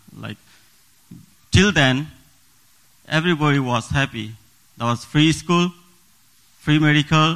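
Talking at a fairly slow pace, a man with a Nepali accent uses a fairly high pitch and ordinary pitch variation. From Bhutan, Nepali community. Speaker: church deacon giving testimony. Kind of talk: testimony. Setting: church. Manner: halting, non-native phrasing.

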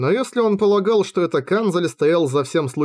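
The recording has an unforced reading voice.

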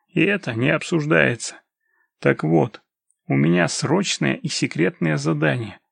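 A quiet background behind an unforced reading voice

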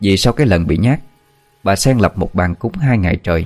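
The intonation is lively as someone reads in a natural reading voice.

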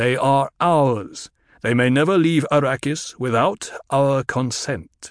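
Dry and close with no echo, a man's medium-pitched voice moves at a fairly slow pace with very even loudness. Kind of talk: audiobook full-cast drama. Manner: proud, formal, unhurried.

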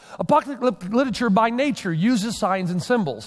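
Lively intonation runs through this man's speech. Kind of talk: sermon. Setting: church stage with congregation. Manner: fast.

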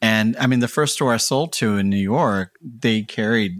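On a very clean recording with a silent background, a man with an American accent speaks at a fairly slow pace. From Houston, Texas. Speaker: noise musician and fashion designer. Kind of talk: casual interview. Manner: halting.

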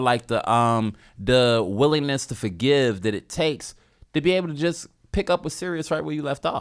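A man's animated tone with very wide pitch swings, on a very clean recording with a silent background. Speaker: podcast co-host, comedian. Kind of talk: casual chat. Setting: studio.

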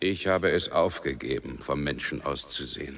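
In a put-on character voice, a man speaks with vocal fry at an extremely low pitch, a fairly bright tone, ordinary pitch variation, and a moderate pace.

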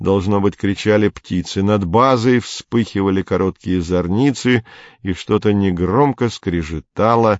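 Someone reads aloud in a natural voice. The pitch moves in an ordinary way.

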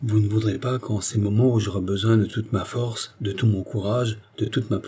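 The intonation stays fairly even during reading aloud in a natural voice.

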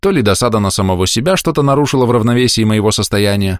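Natural voice for reading aloud

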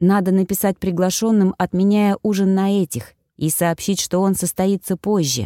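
Over a quiet background, the text is read aloud in a natural voice.

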